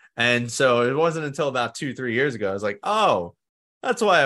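A man with a New York accent, bright and sharp in tone, lively intonation, a fairly quick pace, and a quiet background. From New York City (Staten Island). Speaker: mindset coach, former firefighter. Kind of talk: interview.

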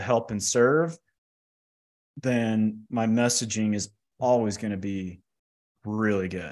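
A man talks with medium pitch and fairly even intonation. The background is quiet. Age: 50s. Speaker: financial services entrepreneur and author. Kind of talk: interview. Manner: direct.

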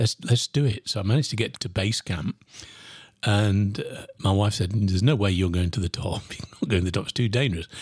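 Dry and close with no echo, the recording catches a man talking at a fairly quick pace in a fairly low, somewhat breathy voice. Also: ordinary pitch variation. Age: 60s. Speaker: podcast host and sales coach. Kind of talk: solo podcast monologue.

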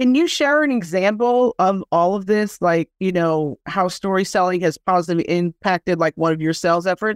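In an ordinary speaking voice, the speaker keeps a moderate pace with hardly any pauses, the sound dry and close with no echo. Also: woman, medium pitch for a woman, ordinary pitch variation. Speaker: podcast host. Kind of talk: interview with promo intro.

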